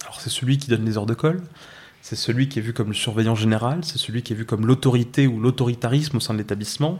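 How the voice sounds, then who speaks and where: Talking very fast, a man keeps a medium pitch and ordinary pitch variation. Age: 20s. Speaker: school education counsellor. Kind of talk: personal testimony.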